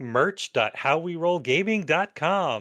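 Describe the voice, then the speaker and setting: A man speaks in a put-on character voice, pitched high for a man, at a fairly slow pace. His intonation is lively, the background is quiet, and the sound is dry and close with no echo. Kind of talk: over-the-top announcer. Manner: exaggerated, promotional.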